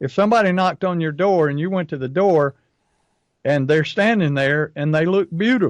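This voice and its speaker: The high-pitched man speaks at a moderate pace, recorded with a dry, close sound and no echo. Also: ordinary pitch variation. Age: 60s. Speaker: pest control marketing coach. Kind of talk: casual chat.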